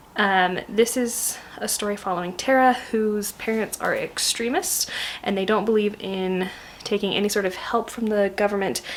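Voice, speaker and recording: A woman speaks at a moderate pace with fairly even intonation. Noticeable background noise runs under her voice. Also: medium pitch for a woman. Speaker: book vlogger. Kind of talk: casual book review vlog. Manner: hesitant, many fillers; soft-spoken, trying to be quiet.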